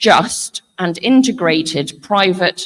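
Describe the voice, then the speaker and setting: A woman with an English accent and lively intonation, the sound dry and close with no echo. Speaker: panel moderator, head of a futures organisation. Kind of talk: conference panel introduction. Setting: conference hall with audience, livestreamed.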